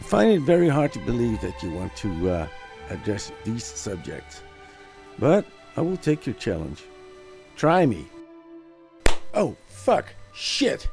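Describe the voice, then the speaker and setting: A man speaks at a fairly slow pace, leaving long, frequent pauses. Music plays in the background. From Netherlands. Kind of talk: commentary response video. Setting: home recording, simple microphone.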